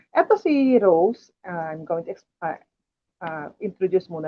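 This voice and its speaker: An unremarkable speaking voice: a woman of medium pitch with lively intonation, talking at a fairly slow pace. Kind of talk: testimony. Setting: livestream.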